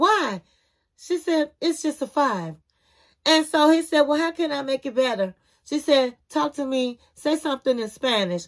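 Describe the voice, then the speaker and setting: Against a quiet background, a woman speaks at a fairly slow pace with a high, animated voice and very wide pitch swings. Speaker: TV review youtuber. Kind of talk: casual TV show review commentary. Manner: animated, chatty. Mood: playful, gossipy. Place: home room. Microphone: phone near.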